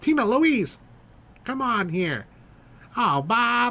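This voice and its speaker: Putting on a character voice, a man speaks at an extremely high pitch and a very slow pace. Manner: exaggerated impression, self-deprecating.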